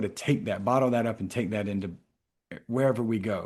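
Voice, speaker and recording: Speaking in a South Carolina accent, a man uses a medium pitch. His pace is fairly quick and his intonation fairly even. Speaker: mental health professional and author. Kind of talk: interview conversation.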